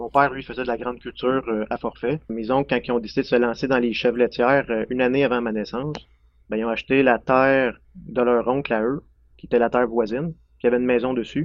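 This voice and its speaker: Here a man speaks at a fairly quick pace with a medium pitch. His intonation is fairly even, and he has a plain, everyday voice. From Quebec, Centre-du-Québec near Drummondville. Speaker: dairy farmer. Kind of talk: casual interview.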